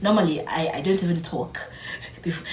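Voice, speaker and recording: Soft-spoken, a woman talks amid noticeable background noise and audible room echo. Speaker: vlogger. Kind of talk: casual vlog talk.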